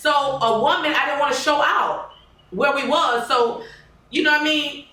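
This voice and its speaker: A woman speaks in a raised, projected, high-pitched voice with an animated tone, at a moderate pace with ordinary pitch variation, amid audible room echo and noticeable background noise. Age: 40s. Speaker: podcast host. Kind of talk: casual chat.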